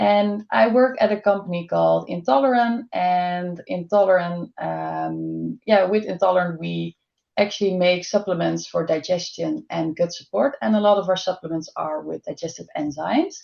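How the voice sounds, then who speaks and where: A woman with a Dutch accent speaks at a moderate pace. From Netherlands. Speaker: dietitian. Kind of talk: webinar presentation.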